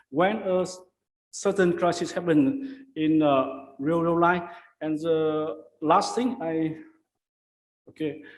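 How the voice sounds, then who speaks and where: A high-pitched male voice with long, frequent pauses and audible room echo. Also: ordinary pitch variation. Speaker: conference paper presenter. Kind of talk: conference presentation and Q&A. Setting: academic conference. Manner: fast; halting, many fillers and repeats.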